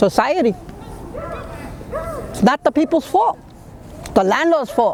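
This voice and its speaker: A woman with a New York accent, high-pitched and fairly slow, her pitch swinging very widely and her loudness swinging a lot, over noticeable background noise. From Brooklyn, New York. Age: 60s. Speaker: long-time resident. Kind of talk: interview.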